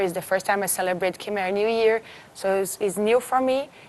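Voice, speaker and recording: A woman with a medium pitch speaks with a Portuguese accent. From Brazil. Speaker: beauty pageant winner. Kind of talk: TV interview.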